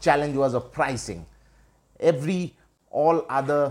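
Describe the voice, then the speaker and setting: In a Bengali accent, a man speaks at a fairly slow pace with a fairly high pitch. The recording is very clean and the background silent. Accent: Indian English (Bengali). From India, West Bengal. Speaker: life coach. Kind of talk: personal story monologue.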